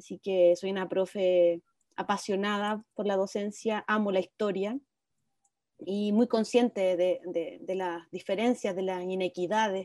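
A woman at medium pitch speaks at a fairly slow pace with fairly even intonation and a dark, mellow tone in a dry, close sound with no echo. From Chile, Viña del Mar. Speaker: constitutional convention member and history teacher. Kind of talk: interview. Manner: halting, frequent repetitions.

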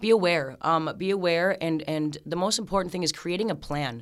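With a normal speaking voice and an American accent, a woman of fairly low pitch talks fairly quickly on a very clean recording with a silent background. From Minnesota. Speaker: peer support specialist. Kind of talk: radio interview.

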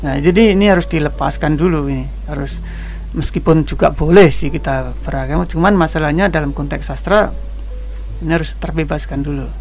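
Fairly quick speech from a man, plus audible room echo and background music. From Kendal, Central Java, Indonesia. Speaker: writer and traveler. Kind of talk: radio interview.

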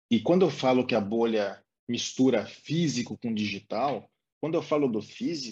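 A man's moderately paced speech with very wide pitch swings. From Brazil, interior of São Paulo state. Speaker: advertising professional and studio co-founder. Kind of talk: interview.

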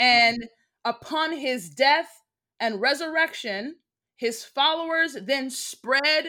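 A woman with an American accent speaks in a raised, projected voice at a very slow pace, her pitch high and her tone bright and sharp. Her pitch varies in an ordinary way, and the recording is very clean with a silent background. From United States. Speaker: guest speaker on race and religion. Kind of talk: casual interview chat.

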